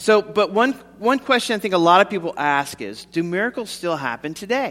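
A man's high-pitched voice, bright and sharp in tone, with lively intonation. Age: 50s. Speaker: pastor. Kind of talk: sermon.

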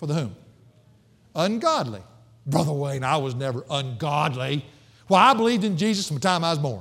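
A man with a Southern US accent speaks fairly quickly in a fairly high pitch, with very wide pitch swings. Long, frequent pauses break up his speech, and audible room echo fills the space. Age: 50s. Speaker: pastor. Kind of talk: sermon.

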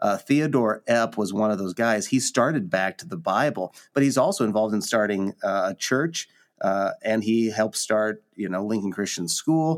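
A man with a Midwestern American accent in a dry, close sound with no echo, on a very clean recording with a silent background. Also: fairly low pitch for a man, ordinary pitch variation, moderate pace. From Nebraska, US Midwest. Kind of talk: casual conversation about the Bible.

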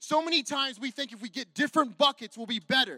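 In a raised, projected voice, a man with an American accent speaks at an extremely high pitch. The tone is bright and sharp, and the sound is dry and close with no echo. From California. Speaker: pastor. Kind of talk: sermon. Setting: church service with congregation. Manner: animated.

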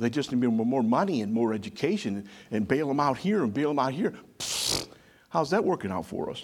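The pitch swings very widely. The pace is fairly quick and the tone animated. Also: man, medium pitch for a man. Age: 60s. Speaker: pastor. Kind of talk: sermon. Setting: church with congregation.

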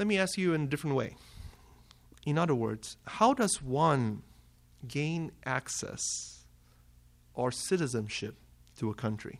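A man with a fairly high pitch speaks at a fairly slow pace. His intonation is lively, broken by long, frequent pauses. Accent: Malaysian. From Malaysia. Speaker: preacher. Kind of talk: sermon.

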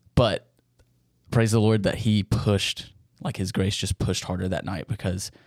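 A man with a Southern US accent, fairly low in pitch, with fairly even intonation and a dry, close sound free of echo. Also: moderate pace. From US South, Tennessee (near Memphis). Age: 20s. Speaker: seminary student, intern. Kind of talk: interview, personal testimony.

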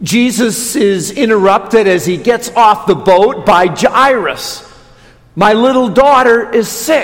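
Speaking very slowly with an Upper Midwest accent, a man with a high pitch and ordinary pitch variation is heard amid noticeable background noise and audible room echo. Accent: Upper Midwest American. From Wisconsin, Watertown. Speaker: Lutheran pastor. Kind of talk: sermon. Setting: church.

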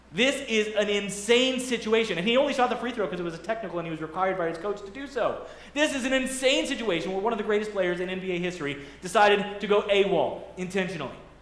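Over noticeable background noise, a man with a high pitch speaks at a very fast pace with lively intonation. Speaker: pastor. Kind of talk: sermon. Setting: church. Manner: fast talker.

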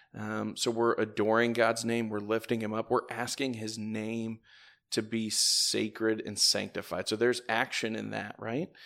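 In a very clean recording with a silent background, a man with a Midwestern American accent and medium pitch talks at a moderate pace in a monotone, flat intonation. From northern Indiana, near Fort Wayne. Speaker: church deacon. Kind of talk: casual chat. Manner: halting, many fillers.

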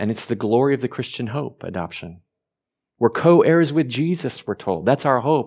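Heard on a very clean recording with a silent background, a man with an American accent uses a normal speaking voice at a medium pitch, with lively intonation and a moderate pace. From Oregon, US. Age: 50s. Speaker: pastor. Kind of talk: sermon. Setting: church.

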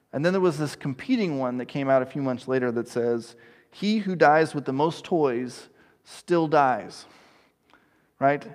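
This is a man with an American accent and a plain, everyday voice, pitched fairly high with ordinary variation. He talks at a fairly quick pace against a quiet background. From East Texas. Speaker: pastor. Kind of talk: sermon.

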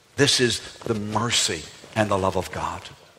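A man with an American accent, fairly low pitch and an animated tone, over noticeable background noise. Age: 60s. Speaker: pastor. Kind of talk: sermon. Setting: church. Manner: animated, humorous.

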